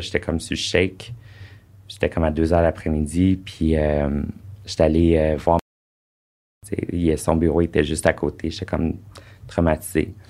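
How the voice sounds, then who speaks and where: Dark and mellow in tone, the speech unfolds at a moderate pace. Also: man. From Quebec (Sherbrooke, Eastern Townships). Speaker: former adult film actor. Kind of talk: casual interview.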